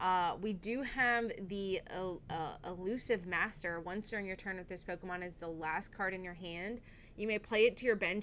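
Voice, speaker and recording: A woman with a plain, everyday voice speaks at a moderate pace with hardly any pauses and ordinary pitch variation. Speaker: streamer. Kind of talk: live gaming stream.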